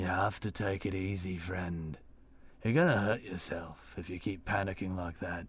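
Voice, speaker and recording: A man puts on a raspy character voice with a very deep, low pitch, keeping his intonation fairly even at a moderate pace. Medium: read story. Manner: warm, steady.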